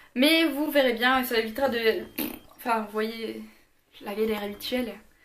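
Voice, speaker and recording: A woman's fairly high-pitched voice with audible room echo. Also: ordinary pitch variation. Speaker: beauty youtuber. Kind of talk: product review. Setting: home filming in daylight. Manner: fast.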